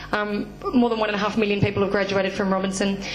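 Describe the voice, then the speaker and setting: A woman with an Australian accent speaks at a very fast pace and medium pitch, with noticeable background noise and audible room echo. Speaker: activist educator leading a study tour. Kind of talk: public talk. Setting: forum with audience. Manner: hesitant, many fillers.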